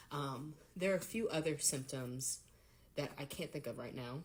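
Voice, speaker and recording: A soft-spoken woman has a very deep, low, somewhat breathy voice. Her pitch varies in an ordinary way. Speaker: patient vlogger. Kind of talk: personal health vlog. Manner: hesitant with fillers.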